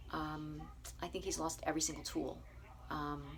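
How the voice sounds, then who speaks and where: This woman talks at a moderate rate. The recording carries audible room echo. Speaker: bed and breakfast owner, vegan vlogger. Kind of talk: casual video diary. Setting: small enclosed room at night. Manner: soft-spoken; hesitant, many fillers.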